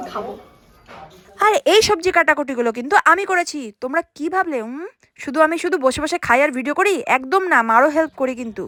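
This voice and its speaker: Music plays in the background as a woman speaks at a high pitch with lively intonation. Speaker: vlogger. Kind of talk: casual vlog chat.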